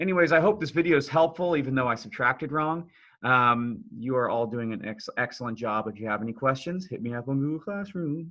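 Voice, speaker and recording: This is a man with a normal speaking voice at a medium pitch. He talks at a fairly quick pace with lively intonation. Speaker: math teacher. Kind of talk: tutorial. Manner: casual, conversational.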